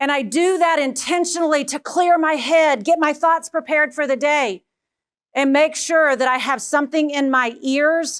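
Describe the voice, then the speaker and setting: In a Texan accent, someone speaks at a moderate pace on a very clean recording with a silent background. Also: woman. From Texas. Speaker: education leadership speaker. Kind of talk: keynote talk. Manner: animated.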